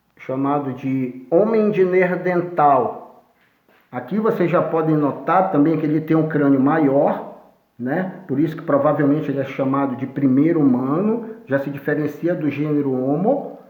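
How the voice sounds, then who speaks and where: A man speaks at a fairly slow pace with audible room echo around him. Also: fairly high pitch for a man, ordinary pitch variation. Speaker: history teacher. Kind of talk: lecture.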